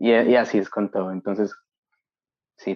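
The man talks at a moderate pace. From Colombia, Bogotá. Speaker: industrial designer, master's student. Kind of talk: interview conversation.

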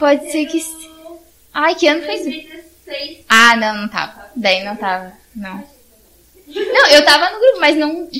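A woman projects her high-pitched voice at a fairly slow pace, with very wide pitch swings and long, frequent pauses. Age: 20s. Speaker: church youth group coordinator. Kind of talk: casual chat.

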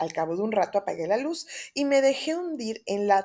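The speaker has a plain, everyday voice. The pace is moderate. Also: woman. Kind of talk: audiobook reading of a Lovecraft horror story, first-person gothic narration. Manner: warm, affectionate and chatty in intro and outro.

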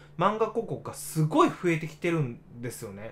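A man is speaking. His pitch is high. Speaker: digital marketer, radio livestream host. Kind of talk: casual livestream radio talk. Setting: solo livestream reading chat. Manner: stumbling, many fillers.

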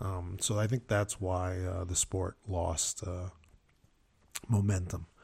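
A man speaks very slowly in a very deep, low, somewhat breathy voice with monotone, flat intonation. Long, frequent pauses break up his speech in a very clean recording with a silent background. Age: 50s. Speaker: racquetball player. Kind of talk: casual chat. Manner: halting, many fillers.

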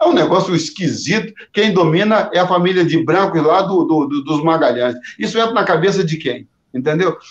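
A man's high-pitched voice with ordinary pitch variation, very even loudness and a moderate pace. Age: 60s. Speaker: pastor. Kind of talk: panel discussion. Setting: live stream. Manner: halting, repeats words.

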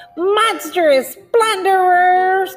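Over background music, a put-on character voice squeaks at an extremely high pitch, shaky throughout. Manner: indignant, fearful.

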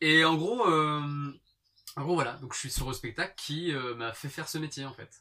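With a normal speaking voice at a fairly high pitch, a man talks at a moderate pace with ordinary pitch variation and big swings in loudness. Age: 30s. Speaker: stage performer and singer. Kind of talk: casual chat.

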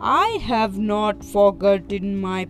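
Over clear background music, a female-sounding voice bellows loudly in a put-on character voice. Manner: booming, deceiving.

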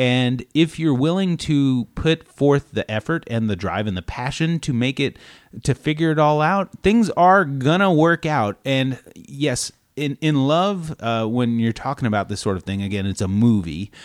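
An unremarkable speaking voice from a man at medium pitch, with lively intonation and a moderate pace. The recording is very clean, with a silent background and a dry, close sound with no echo. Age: 30s. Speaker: movie podcast co-host. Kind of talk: casual chat.

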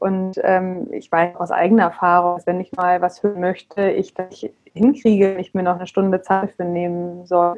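A woman's fairly even intonation and medium pitch carry along at a moderate pace. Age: 40s. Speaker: parenting coach. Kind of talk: casual interview. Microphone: bumpy sound from bad internet.

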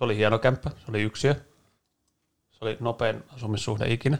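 A man speaks at a medium pitch and a fairly slow pace. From Helsinki, Finland (East Helsinki). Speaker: podcast co-host. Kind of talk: casual chat.

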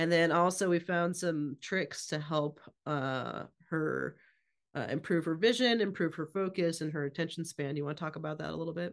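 A woman with an ordinary speaking voice and a fairly low pitch, at a moderate pace against a quiet background. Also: ordinary pitch variation. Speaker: podcast host. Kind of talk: casual interview.

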